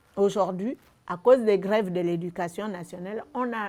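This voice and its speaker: The tone is dark and mellow. Delivery is rather unhurried, with normal pitch movement. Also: woman. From Gabon. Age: 60s. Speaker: retired civil servant. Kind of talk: testimony. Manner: halting.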